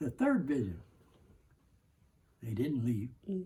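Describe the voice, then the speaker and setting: A man with an Oklahoma accent talks at a fairly slow pace in a dark, mellow tone. His pitch swings very widely. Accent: Southern American (Oklahoma). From Oklahoma, USA. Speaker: WW2 tank commander veteran. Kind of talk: interview answer.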